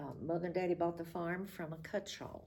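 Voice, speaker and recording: At a moderate pace, a woman with a Southern Appalachian accent speaks in a very deep, low voice with vocal fry and a dark, mellow tone. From Appalachian North Carolina. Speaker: retired school administrator. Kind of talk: oral history interview. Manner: reminiscing, conversational.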